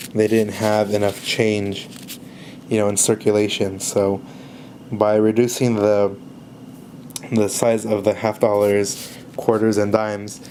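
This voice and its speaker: Over noticeable background noise, a man speaks at a fairly low pitch. His delivery is monotone and flat, with long, frequent pauses. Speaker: coin collector. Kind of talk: casual talk to camera. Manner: hesitant, many fillers.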